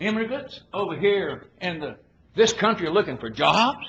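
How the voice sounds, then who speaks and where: Through audible room echo and noticeable background noise, a man with a Southern US accent speaks at a fairly slow pace. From Arkansas. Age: 70s. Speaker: politician. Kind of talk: political speech. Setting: conference with audience. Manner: folksy, emphatic.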